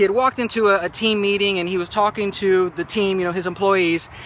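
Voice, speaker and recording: A man speaks at a fairly quick pace in a raised, projected voice, his pitch high with ordinary variation, over noticeable background noise. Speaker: motivational vlogger. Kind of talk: motivational talk. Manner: fast; halting, many fillers and repeats.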